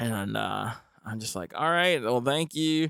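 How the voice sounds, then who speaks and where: The tone is bright and sharp, with ordinary pitch variation at a moderate pace. The recording is very clean, with a silent background. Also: man. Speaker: podcast host and freestyle rapper. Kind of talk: casual monologue. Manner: meandering, stumbling.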